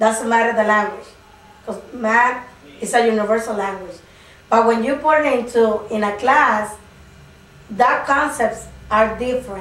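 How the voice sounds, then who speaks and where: With a Spanish accent and a fairly high pitch, a woman talks at a fairly slow pace with fairly even intonation and long, frequent pauses, amid noticeable background noise and audible room echo. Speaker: preschool migrant teacher. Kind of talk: interview. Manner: halting.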